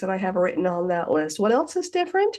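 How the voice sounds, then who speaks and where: A woman talks with lively intonation. Hers is an unremarkable speaking voice. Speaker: hypnotist and hypnosis teacher. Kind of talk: self-hypnosis instructional talk. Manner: conversational, friendly.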